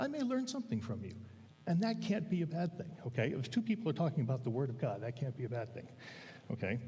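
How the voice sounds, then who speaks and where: Somewhat breathy and very fast, a man's medium-pitched voice with a dark, mellow tone swings very widely in pitch against audible room echo. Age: 60s. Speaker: lay preacher, men's Bible study leader. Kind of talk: sermon. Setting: church. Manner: halting.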